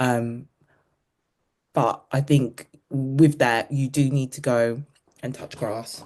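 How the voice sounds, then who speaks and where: In a London accent, a woman with a very deep, low pitch speaks very slowly in a monotone, flat way, leaving long, frequent pauses. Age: 50s. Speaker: running coach. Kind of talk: casual chat. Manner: casual, hesitant with fillers.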